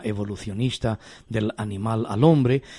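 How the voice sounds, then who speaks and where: A man's somewhat breathy voice of medium pitch, dark and mellow in tone. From Spain. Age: 50s. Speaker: pastor and radio host. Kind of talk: radio talk show on faith.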